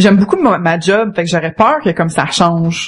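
Speaking at a fairly quick pace in a Quebec accent, a woman has a somewhat breathy, medium-pitched voice with ordinary pitch variation. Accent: Québécois French. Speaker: community manager. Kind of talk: casual chat.

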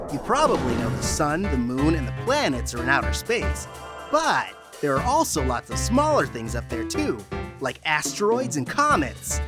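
Speech at a moderate pace over music in the background. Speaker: narrator. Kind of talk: children's educational narration.

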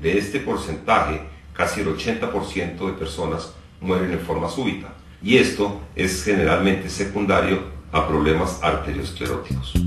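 With music in the background and audible room echo, a man talks fairly slowly in a very deep, low pitch with ordinary pitch variation. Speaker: presenter. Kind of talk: educational explanation to camera. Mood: serious, informative. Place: studio.

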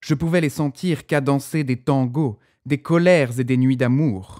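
A man speaks very slowly at a medium pitch, his tone solemn, dark and mellow. The recording is very clean with a silent background, and the sound is dry and close with no echo. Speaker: author narrating his own short story. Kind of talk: first-person literary audiobook narration, building to a lyrical, dramatic climax. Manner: measured, solemn storytelling cadence, swelling with wonder and emotion; slightly tentative, a first-time narrator still finding his tone.

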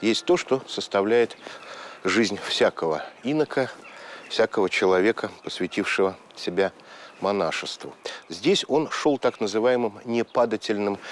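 A man at a fairly slow pace, with ordinary pitch variation, very even loudness, long and frequent pauses, and a dry sound with no echo. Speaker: presenter. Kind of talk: documentary narration to camera. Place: garden.

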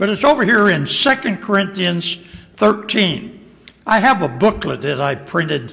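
A man's raised, projected voice sits at a high pitch with very wide pitch swings. His pace is moderate. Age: old. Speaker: pastor. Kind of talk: sermon. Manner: halting. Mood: light, self-deprecating humor. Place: church. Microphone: podium.

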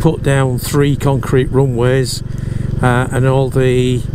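A man's voice comes through dry, with no echo, against noticeable background noise. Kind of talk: casual moto-vlog commentary. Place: motorbike. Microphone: helmet.

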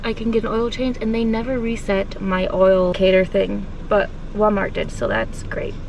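A woman talks at a moderate pace with fairly even intonation, the sound dry with no echo and some light background noise. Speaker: vlogger. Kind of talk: casual vlog chat. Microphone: phone near.

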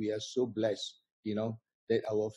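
Dry with no echo and set against a quiet background, a man's dark, mellow voice moves at a moderate pace. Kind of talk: host welcome remarks. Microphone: video call.

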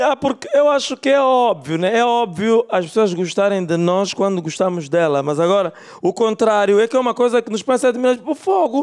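Against a quiet background, a man with a high pitch talks with lively intonation and hardly any pauses. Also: moderate pace. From Angola. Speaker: stand-up comedian. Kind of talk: stand-up comedy set, dry self-aware musings to a club audience. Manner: musing, hedging with rhetorical asides. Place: stage. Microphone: handheld.

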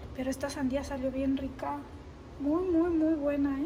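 Her pitch is high and her intonation is monotone and flat, at a moderate pace. Light background noise sits behind this woman. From Sinaloa, Mexico. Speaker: vlogger. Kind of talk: casual cooking vlog talk to camera. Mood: warm, cheerful. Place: kitchen. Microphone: phone near.

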